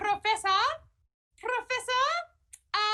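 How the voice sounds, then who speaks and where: A woman's squeaky put-on character voice at an extremely high pitch. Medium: game stream.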